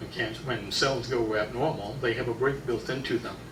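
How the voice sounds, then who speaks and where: There is noticeable background noise and audible room echo as a man talks at a medium pitch and moderate pace. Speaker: health lecturer. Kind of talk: lecture. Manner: loud.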